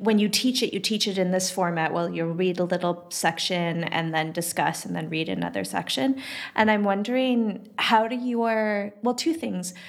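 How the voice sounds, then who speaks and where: A woman speaks at a moderate pace in a normal speaking voice with hardly any pauses. Her pitch is medium, with ordinary variation. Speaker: podcast co-host, art critic. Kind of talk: casual conversation and interview.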